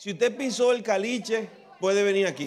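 Crowd noise fills the background. A man talks at a high pitch. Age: old. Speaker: pastor. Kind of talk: tribute speech with humour. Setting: church. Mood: warm, nostalgic, joking. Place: church. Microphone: handheld.

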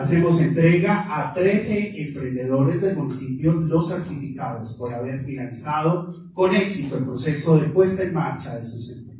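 A moderate pace, with light background noise and strong room echo. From Colombia. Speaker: event emcee. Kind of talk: ceremony announcing. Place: meeting room.

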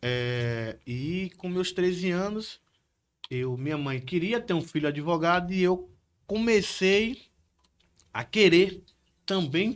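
Lively intonation in a Bahian accent. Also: man. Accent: Bahian Brazilian Portuguese. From Salvador, Bahia, Brazil; Bahia, Brazil. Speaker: criminal lawyer, former police officer; criminal lawyer. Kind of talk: casual chat. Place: studio. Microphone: studio mic.

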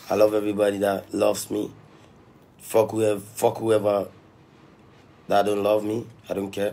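At a moderate pace broken by long, frequent pauses, the voice carries an upbeat tone that is also dark and mellow. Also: man, fairly low pitch for a man. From Ghana. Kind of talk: casual livestream chat. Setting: live video stream. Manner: upbeat, motivational, slangy. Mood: defiant, confrontational. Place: home room. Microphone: phone near.

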